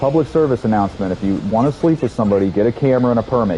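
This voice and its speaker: Against noticeable background noise, a man talks very fast with ordinary pitch variation. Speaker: gaming streamer. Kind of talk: live stream chat while gaming. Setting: live stream. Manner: loud; animated.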